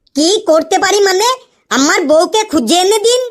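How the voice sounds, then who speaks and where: An extremely high-pitched, cartoonish character voice speaks at a moderate pace. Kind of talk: comic cartoon voice acting. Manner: deferential, addresses officer constantly.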